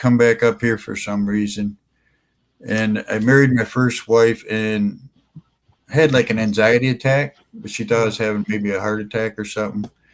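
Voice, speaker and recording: A man's normal speaking voice at a fairly low pitch, with a fairly quick pace and fairly even intonation. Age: 60s. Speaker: military veteran. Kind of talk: casual chat.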